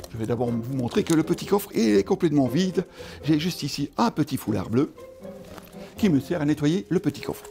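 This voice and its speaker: Clear music plays in the background as a man speaks. He leaves long, frequent pauses. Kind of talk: magic show patter with a voiced genie dialogue. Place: studio.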